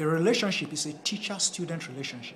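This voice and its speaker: A man with a Nigerian accent talks at a fairly quick pace and fairly high pitch. Audible room echo surrounds his voice. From Nigeria (Edo, Esan-speaking). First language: Esan. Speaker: Buddhist studies lecturer. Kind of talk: lecture. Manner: halting.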